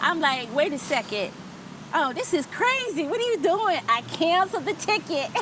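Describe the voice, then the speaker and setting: A woman talks at a moderate pace with very wide pitch swings. Noticeable background noise is present. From New Jersey, US (Trenton). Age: 50s. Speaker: expat interviewee. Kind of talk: casual interview.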